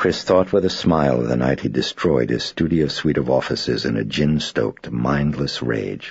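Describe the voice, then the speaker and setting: A man's very deep, low voice at a moderate pace, with hardly any pauses, ordinary pitch variation, dry sound with no echo and a quiet background. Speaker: author reading own novel. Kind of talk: audiobook narration.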